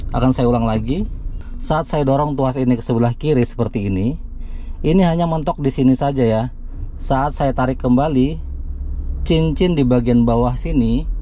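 The speech moves at a moderate pace, with light background noise and a dry sound with no echo. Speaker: car channel host. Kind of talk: tutorial. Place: car.

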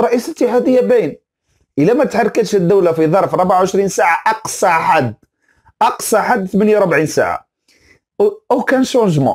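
Speaking at a moderate pace with a high pitch, a man sounds animated, with lively intonation and very even loudness over a quiet background. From Algeria. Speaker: football commentator YouTuber; sports commentator. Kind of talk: opinion rant video. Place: home room. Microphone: lapel.

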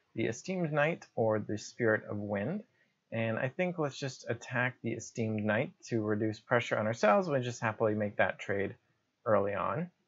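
A man speaking at a moderate pace against a quiet background. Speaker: gamer explaining play. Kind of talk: commentary. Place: home room.

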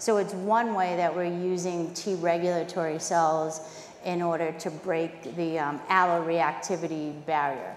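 With a Boston accent, a woman speaks at a fairly slow pace and fairly low pitch with fairly even intonation, over light background noise and audible room echo. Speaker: biotech chief scientific officer. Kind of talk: conference panel discussion. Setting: stage with audience.

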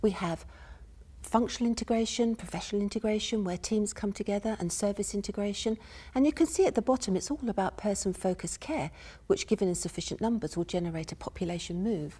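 A woman's somewhat breathy, dark and mellow voice at a very fast pace, with ordinary pitch variation. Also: medium pitch for a woman. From UK. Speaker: university professor, health and social care researcher; speaker. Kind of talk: academic lecture / conference presentation. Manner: soft-spoken, measured. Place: stage.

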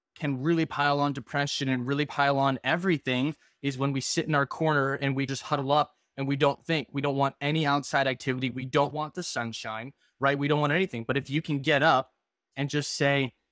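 Recorded dry with no echo over a quiet background, a man talks at a fairly quick pace in a monotone, flat intonation. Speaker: podcast host. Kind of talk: casual podcast conversation. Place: home room. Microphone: video call.

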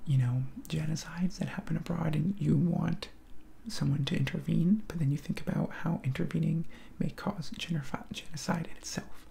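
A man's high-pitched voice over light background noise. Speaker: video creator taking a political quiz. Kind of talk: casual vlog chat. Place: home room. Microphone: headset.

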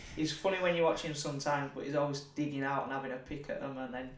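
A man speaks very fast in a Yorkshire accent. His intonation stays fairly even, and room echo is audible. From northern England, Leeds; northern England. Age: 30s. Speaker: professional boxer; guest. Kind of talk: casual chat. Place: studio.

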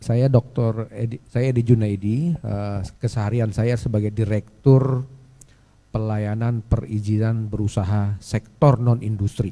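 This man has a dark, mellow tone and fairly even intonation. He speaks at a fairly slow pace. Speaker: government official; speaker. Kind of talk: presentation. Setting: stage with audience. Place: hall. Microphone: handheld.

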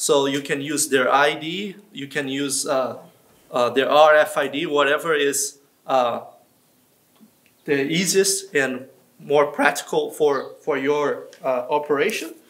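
A man talks at a very slow pace. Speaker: veterinarian demonstrator. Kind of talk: tutorial. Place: farm machine. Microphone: lapel.

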